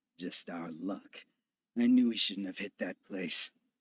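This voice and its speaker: Using a put-on character voice, a man talks in a raspy, fairly low pitch at a fairly slow pace, with ordinary pitch variation and big swings in loudness, the sound dry and close with no echo. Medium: video game. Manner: cocky, swaggering.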